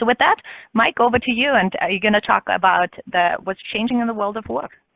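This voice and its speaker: A woman with an Austrian accent talks at a very fast pace. Her pitch is fairly high with ordinary variation. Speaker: business consultant. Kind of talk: webinar presentation.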